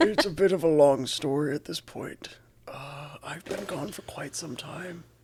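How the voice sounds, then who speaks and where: A put-on character voice sits at a middle pitch. The delivery moves at a moderate pace. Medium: actual play. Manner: grand, storytelling.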